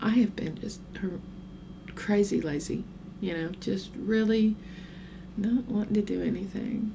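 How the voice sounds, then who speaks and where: With a slight Oklahoma accent, a woman at medium pitch speaks with ordinary pitch variation and long, frequent pauses. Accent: light Oklahoma Southern. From southern Oklahoma. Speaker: vlogger. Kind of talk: casual vlog monologue. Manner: rambling, chatty.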